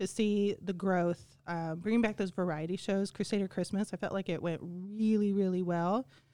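A woman with an unremarkable speaking voice talks at a medium pitch and a moderate pace with ordinary pitch variation. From Kansas. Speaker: school choir teacher. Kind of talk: casual chat.

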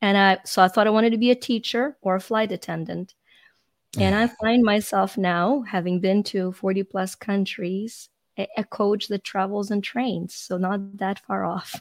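Speaking with a Ukrainian accent, a woman talks at a moderate pace and medium pitch with fairly even intonation, in a dry, close sound with no echo. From Ukraine. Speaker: life coach. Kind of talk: podcast interview. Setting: video call.

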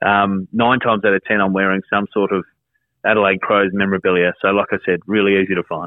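With an Australian accent, a man talks at a very fast pace with fairly low pitch and very even loudness. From South Australia, Whyalla. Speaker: radio presenter and content director. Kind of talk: casual interview.

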